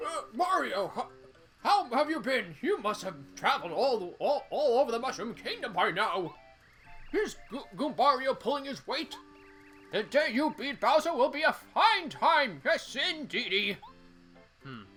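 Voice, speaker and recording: Over clear background music, a man does a put-on character voice at a moderate pace. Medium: game stream. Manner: folksy, calls hero young fella.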